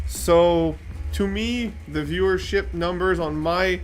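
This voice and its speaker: In a French Canadian accent, a man speaks at a fairly slow pace. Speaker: model railway streamer. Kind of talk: livestream chat. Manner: halting, many fillers.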